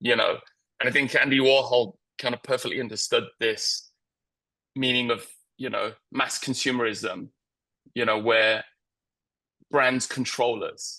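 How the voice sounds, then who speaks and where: Long, frequent pauses break up a man's medium-pitched speech. His tone is bright and sharp, his intonation monotone and flat. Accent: British. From England. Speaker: creative director. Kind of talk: interview. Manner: halting, many fillers.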